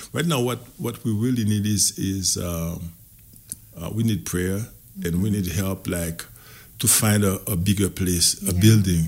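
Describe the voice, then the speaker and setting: With a Haitian accent, a man talks at a moderate pace in a fairly low pitch, his pitch varying in an ordinary way and his speech broken by long, frequent pauses. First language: Haitian Creole. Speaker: community organization representative. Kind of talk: radio interview. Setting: radio studio.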